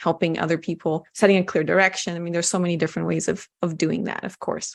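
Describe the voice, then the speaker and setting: A woman with a Brazilian accent speaks at a medium pitch. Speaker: communication coach and speaker. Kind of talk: interview.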